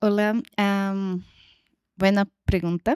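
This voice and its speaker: A woman speaks at medium pitch with a Brazilian accent. The recording is dry and close, without echo. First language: Portuguese (speaking Spanish). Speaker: researcher. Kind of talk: panel discussion. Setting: event with live audience. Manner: halting.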